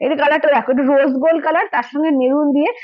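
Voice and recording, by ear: A woman talks at a very fast pace. Her voice is high-pitched.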